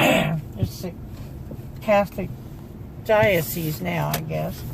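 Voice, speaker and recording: A woman talks very slowly amid noticeable background noise and audible room echo. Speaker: grandmother being interviewed. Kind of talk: casual chat.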